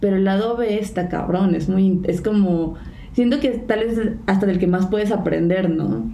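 Speaking in a Mexican accent at a fairly slow pace, a woman of medium pitch keeps very even loudness and ordinary pitch variation, with audible room echo and noticeable background noise. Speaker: podcast co-host. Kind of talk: casual chat.

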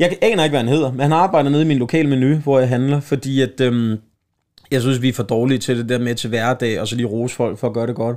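A man at a very fast pace, medium in pitch, with ordinary pitch variation. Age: 30s. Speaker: comedian and podcast host. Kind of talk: casual chat.

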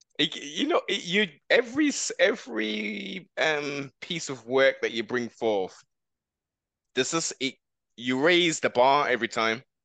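Someone speaks at a fairly slow pace in a British accent, with a bright, sharp tone. The sound is dry and close, with no echo. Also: man, fairly high pitch for a man, lively intonation. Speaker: podcast host. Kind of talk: casual chat. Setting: video call. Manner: halting.

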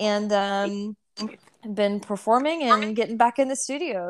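On a very clean recording with a silent background, a woman speaks in a normal speaking voice with an American accent. Her pitch is medium, with ordinary variation, and her pace is moderate. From Texas. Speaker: country singer. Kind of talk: casual interview.

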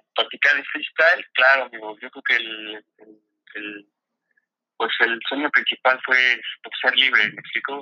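A man with a central Mexican accent, very slow and fairly even, with long, frequent pauses. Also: big swings in loudness. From Mexico, State of Mexico. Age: 30s. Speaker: freestyle football athlete. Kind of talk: casual interview.

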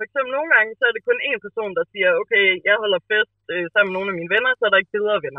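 A woman talking at a very fast pace with lively intonation and hardly any pauses. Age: 20s. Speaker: podcast guest. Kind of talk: casual chat. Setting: phone call.

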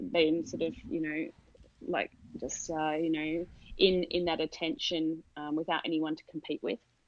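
Speaking at a moderate pace in an Australian accent, a woman has a very deep, low pitch, ordinary pitch variation, and big swings in loudness. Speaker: sleep consultant and parent coach. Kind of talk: podcast interview.

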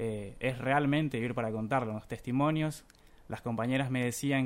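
A man at a moderate pace with fairly even intonation, on a very clean recording with a silent background. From Buenos Aires, Argentina. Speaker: journalism student, contest winner. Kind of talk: radio interview. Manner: halting, many fillers.

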